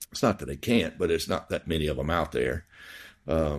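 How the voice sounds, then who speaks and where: A man with a Southern US accent and vocal fry speaks in a very clean recording with a silent background. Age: 60s. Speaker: dentist and practice owner. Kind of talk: podcast interview. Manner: halting, many fillers.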